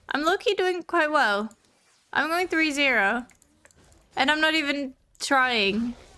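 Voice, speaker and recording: A woman speaks in a raised, projected voice, high-pitched and bright, sharp in tone, with lively intonation and very even loudness. She goes at a fairly slow pace with long, frequent pauses, in a very clean recording with a silent background. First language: not English. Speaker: streamer. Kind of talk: casual chat while gaming. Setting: live stream. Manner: casual, filler-heavy.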